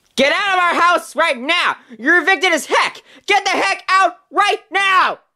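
Using a put-on character voice, a man speaks fairly slowly at an extremely high pitch with a bright, sharp tone and ordinary pitch variation.

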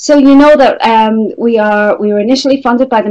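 A woman at a moderate pace, with ordinary pitch variation and a quiet background. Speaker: webinar host. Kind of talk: webinar introduction. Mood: warm, grateful. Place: meeting room.

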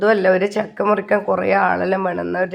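This woman speaks at a medium pitch with vocal fry. Her intonation is fairly even. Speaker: vlogger. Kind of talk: casual vlog narration.

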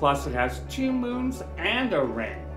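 Clear music plays in the background as someone speaks at a very slow pace with audible room echo. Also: man. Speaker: podcast host. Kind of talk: science podcast narration. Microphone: earbuds.

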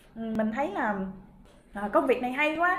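The speaker keeps a moderate pace with lively intonation over light background noise. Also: woman. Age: 30s. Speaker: direct sales distributor. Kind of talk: motivational talk; interview answer. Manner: halting, many fillers. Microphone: webcam.

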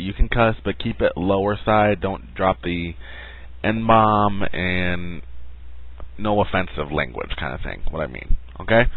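A man's fairly low voice in a dry sound with no echo. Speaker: channel host. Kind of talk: casual vlog chat. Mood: playful, joking. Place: home room. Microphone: headset.

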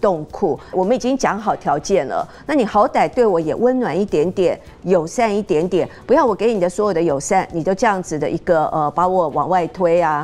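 In a plain, everyday voice, a woman speaks at a medium pitch and a moderate pace with lively intonation. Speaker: counselor. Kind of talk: TV talk show discussion. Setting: studio.

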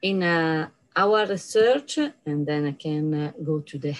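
Her voice is very deep and low for a woman, with ordinary pitch variation. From Italy. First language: Italian. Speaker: professor. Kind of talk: conference lecture. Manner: halting. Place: office. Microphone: webcam.

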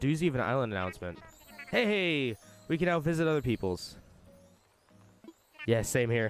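A man speaks at a moderate pace with a medium pitch and very wide pitch swings. Long pauses come often, and music plays in the background. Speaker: streamer. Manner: casual, chatty.

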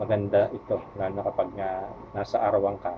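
A man speaks at a moderate pace with a fairly low pitch and monotone, flat intonation. Noticeable background noise sits behind him. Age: 50s. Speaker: vlogger. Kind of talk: tutorial. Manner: halting, many fillers.

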